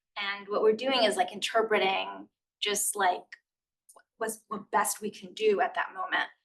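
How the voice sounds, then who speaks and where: A woman with a medium pitch and vocal fry talks at a moderate pace in fairly even intonation, her loudness swinging widely. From US, Queens, New York. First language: Spanish. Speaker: author. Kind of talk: interview conversation. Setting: stage with audience. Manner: casual, many fillers.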